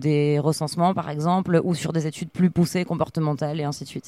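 A woman with an ordinary speaking voice talks at a moderate pace and a fairly low pitch, with fairly even intonation. The recording is very clean, with a silent background. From France, Arcachon (Gironde). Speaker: marine biologist. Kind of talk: interview.

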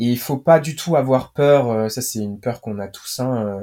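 A man's unremarkable speaking voice at medium pitch, ordinary pitch variation, and a very clean recording with a silent background. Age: 20s. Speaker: startup cofounder. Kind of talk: interview.

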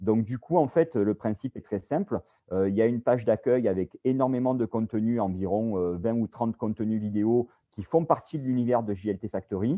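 The speech comes in a southern French accent at a moderate pace. Pitch variation is ordinary. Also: man, medium pitch for a man. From Bouches-du-Rhône, southeastern France. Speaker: video production company founder, former sports journalist. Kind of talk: interview. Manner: hesitant, many repetitions.

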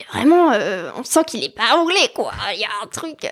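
Here a woman is speaking. Her pace is moderate. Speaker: student. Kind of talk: casual interview.

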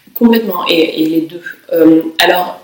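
Over noticeable background noise, a woman speaks fairly slowly with lively intonation. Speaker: author, translator and academic. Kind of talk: interview. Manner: hesitant, with frequent fillers.

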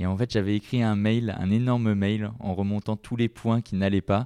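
A man speaks at a moderate pace with a fairly low pitch and a dark, mellow tone. His intonation stays fairly even, and the sound is dry and close with no echo against a quiet background. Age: 20s. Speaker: digital marketing manager. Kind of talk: interview. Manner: hesitant, many fillers.

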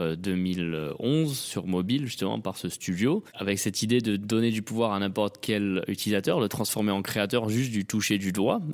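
Speaking at a fairly slow pace, a man with a plain, everyday voice keeps a fairly low pitch and ordinary pitch variation. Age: 30s. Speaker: tech entrepreneur. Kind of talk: interview. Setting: at a conference.

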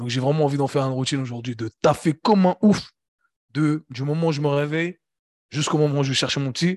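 A man talks at a very fast pace in a fairly high voice. The sound is dry and close, with no echo. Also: ordinary pitch variation, quiet background. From Switzerland, Geneva. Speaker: fitness coach and entrepreneur. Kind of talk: casual interview conversation. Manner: halting, many repetitions.

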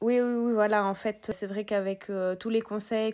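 A woman speaks in a normal speaking voice at medium pitch. The recording is very clean, with a silent background. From southern France. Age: 20s. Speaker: periodontist. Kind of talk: casual chat.

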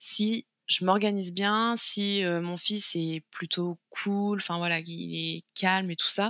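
A woman talks in a normal speaking voice at a medium pitch, keeping her intonation fairly even. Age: 20s. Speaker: content creator, former childcare worker. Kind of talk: interview podcast.

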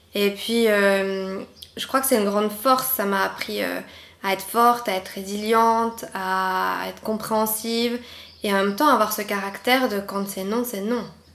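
A woman speaks at a fairly slow pace with a medium pitch and fairly even intonation. She has an unremarkable speaking voice. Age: 20s. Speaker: patient sharing illness experience, former midwife. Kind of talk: interview testimony.

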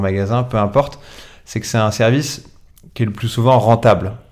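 A man with a medium pitch and ordinary pitch variation talks at a moderate speed. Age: 40s. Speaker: entrepreneur, founder of a second-hand collection company. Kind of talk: interview.

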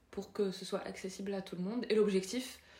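Noticeable background noise behind a woman's medium-pitched voice, her pace moderate. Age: 30s. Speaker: parenting influencer. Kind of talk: casual interview. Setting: home. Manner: halting.

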